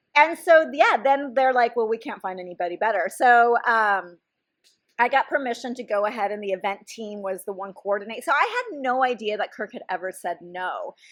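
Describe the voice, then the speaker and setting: This woman talks at a moderate pace with a fairly high pitch, lively intonation and big swings in loudness. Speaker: psychologist and podcast host. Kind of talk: casual chat.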